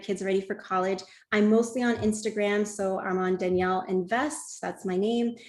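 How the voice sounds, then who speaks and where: A woman with an ordinary speaking voice talks at a moderate pace and medium pitch. Her intonation is fairly even. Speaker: webinar presenter on college planning. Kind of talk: webinar presentation.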